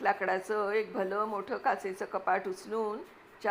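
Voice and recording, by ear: With intonation that stays mostly level, the speaker reads aloud in a natural voice.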